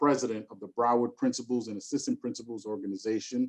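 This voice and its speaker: Speaking in a New York accent, the man's voice sits at a medium pitch. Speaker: school superintendent. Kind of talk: virtual conference speaker introduction. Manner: animated.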